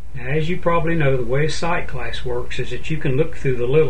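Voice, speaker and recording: Fairly quick talk from a man, with noticeable noise in the background. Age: 60s. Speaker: DIY home repair video maker. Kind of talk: tutorial.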